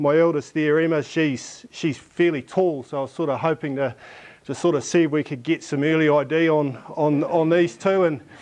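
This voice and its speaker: The pace of this man's speech is moderate. Fairly even intonation carries through it. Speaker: presenter, coaching lecturer. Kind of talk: conference presentation. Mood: light, humorous. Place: classroom. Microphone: lapel.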